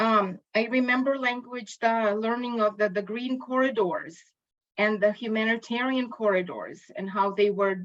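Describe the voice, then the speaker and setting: A woman with a Ukrainian accent, fairly high-pitched, at a fairly slow pace with fairly even intonation. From Ukraine. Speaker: linguistics educator. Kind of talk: lecture. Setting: video call. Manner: halting.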